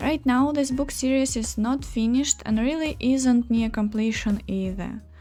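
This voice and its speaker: Music plays in the background as a woman with a Russian accent speaks at a moderate pace. Her pitch is fairly high and her intonation fairly even. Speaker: writer and artist. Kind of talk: scripted video introduction.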